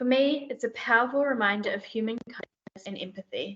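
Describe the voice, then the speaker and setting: This woman speaks in a fairly high pitch with fairly even intonation and a New Zealand accent. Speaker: sanctuary bear team manager. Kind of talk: presentation in a meeting.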